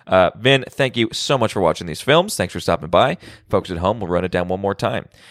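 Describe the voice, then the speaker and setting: Using a normal speaking voice, a man talks at a fairly quick pace with lively intonation and fairly low pitch, the sound dry and close with no echo. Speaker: podcast host. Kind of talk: casual chat. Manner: casual, conversational.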